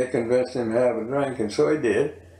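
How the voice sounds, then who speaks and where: In an American accent, a man speaks at a medium pitch and moderate pace. Audible room echo surrounds the voice. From Virginia. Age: 80s+. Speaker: local elder interviewee. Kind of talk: oral history interview. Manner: halting, many fillers.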